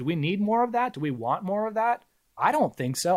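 Very wide pitch swings mark this fairly quick delivery, captured in a very clean recording with a silent background. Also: man. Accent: Californian. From US, California Bay Area. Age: 40s. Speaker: independent media founder. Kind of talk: interview.

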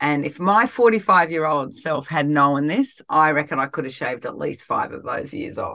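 Speaking at a moderate pace with hardly any pauses, a woman with an Australian accent shows big swings in loudness against a quiet background. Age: 50s. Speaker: life coach and podcast host. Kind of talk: solo podcast talk.

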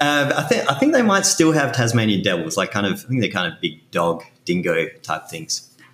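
The speaker has an Australian accent and very wide pitch swings. There are hardly any pauses. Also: man, medium pitch for a man, moderate pace. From Western Australia. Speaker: backup software company co-founder. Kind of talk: casual interview. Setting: video call.

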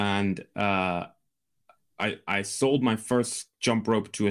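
With a Scottish accent and fairly low pitch, a man speaks with fairly even intonation in a very clean recording with a silent background. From Scotland. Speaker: Amazon seller and business broker. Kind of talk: interview.

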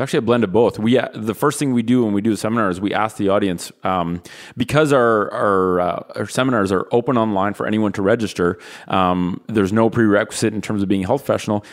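In a very clean recording with a silent background, a man with a Canadian accent talks at a very fast pace, his fairly low voice showing ordinary pitch variation. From Canada. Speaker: physical therapist. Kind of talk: casual interview. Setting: studio, sharing one microphone.

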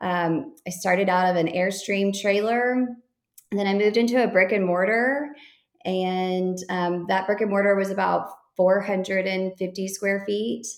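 Speaking in a Texan accent, a woman keeps a moderate pace and fairly even intonation. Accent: Texan American. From Texas. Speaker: boutique owner. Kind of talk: interview.

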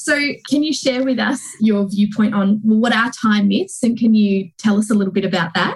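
At a moderate pace, a woman speaks in a somewhat breathy, fairly high voice with ordinary pitch variation. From UK. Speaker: podcast host and business coach. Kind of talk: podcast interview.

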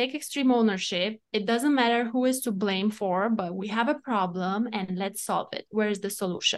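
Moderate pace in a Romanian accent, with hardly any pauses. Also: woman, fairly high pitch for a woman, ordinary pitch variation. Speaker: entrepreneur and coach. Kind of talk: interview. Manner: excitable.

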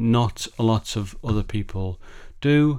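Ordinary pitch variation comes through at a fairly slow pace in a very clean recording with a silent background. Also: man. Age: 50s. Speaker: podcast host. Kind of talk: solo podcast talk. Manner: halting.

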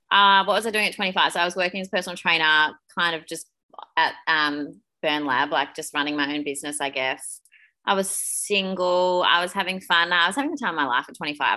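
A woman with an Australian accent talks at a fairly quick pace, her pitch fairly low and her tone bright and sharp. Her pitch moves in an ordinary way against a quiet background. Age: 30s. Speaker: podcast co-host, personal trainer. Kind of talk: casual chat.

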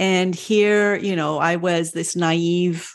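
A woman with an American accent has a normal speaking voice. Her pitch is fairly low. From France and the United States. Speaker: Montessori parenting consultant and doula. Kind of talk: casual interview chat.

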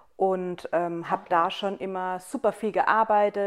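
Pitched at a medium level with fairly even intonation, a woman speaks in an ordinary speaking voice. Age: 30s. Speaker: hairdresser and salon owner. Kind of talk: casual chat. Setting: on a couch at her home.

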